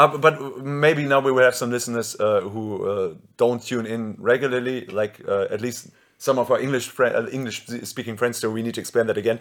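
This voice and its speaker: Recorded very cleanly against a silent background, a man with a German accent speaks at a moderate pace in a medium pitch with ordinary pitch variation. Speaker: podcast host and band singer. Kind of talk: casual chat.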